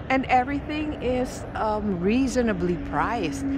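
Over noticeable background noise, a woman talks with vocal fry and lively intonation. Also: dry sound with no echo. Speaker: food vlogger. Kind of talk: casual vlog chat. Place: street. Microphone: phone near.

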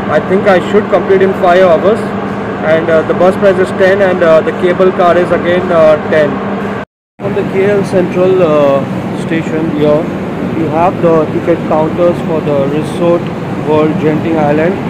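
A man talks at a moderate pace. Loud background noise sits behind him. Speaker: travel vlogger. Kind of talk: casual vlog chat. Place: station. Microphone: phone near.

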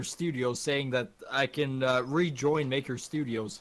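A man with an ordinary speaking voice, fairly high in pitch, at a moderate pace. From Canada. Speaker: gaming streamer. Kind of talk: casual chat while gaming.

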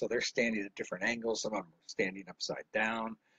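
In an American accent, a man talks at a very fast pace. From Illinois, Chicago area, then Miami Beach from 13. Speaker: painting instructor. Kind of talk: live painting tutorial with casual storytelling.

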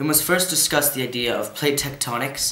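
Noticeable room echo, a moderate pace and ordinary pitch variation. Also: man. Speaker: presenter. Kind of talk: educational lesson. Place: home room.

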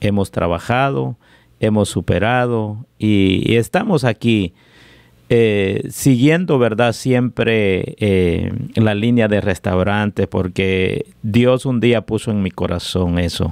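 Speaking very slowly, a man uses a fairly low pitch with ordinary pitch variation. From Guatemala, Jutiapa (eastern). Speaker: restaurant owner. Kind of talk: interview.

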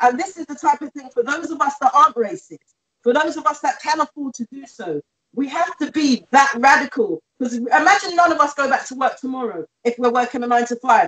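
A woman with a British accent and a high pitch, animated in tone, with ordinary pitch variation, big swings in loudness, and a quiet background. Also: fairly quick pace. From England. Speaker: community campaigner; guest. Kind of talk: panel discussion. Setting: video call. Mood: earnest, impassioned. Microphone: video call.

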